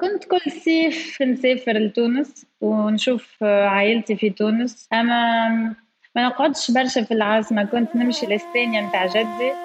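A woman talks fairly slowly in a normal speaking voice with ordinary pitch variation. Her loudness stays very even, with hardly any pauses. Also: fairly high pitch for a woman. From France, Paris (Tunisian family). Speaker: entrepreneur and university lecturer. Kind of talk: interview testimony.

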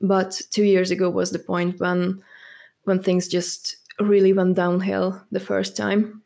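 A woman's medium-pitched voice in a monotone, flat intonation. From Hungary. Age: 20s. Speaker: fitness enthusiast with chronic illness. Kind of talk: interview.

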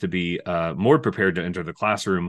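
In an American accent, a man talks at a fairly quick pace, with a dry, close sound with no echo and a quiet background. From California. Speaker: music education professor. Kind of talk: interview.

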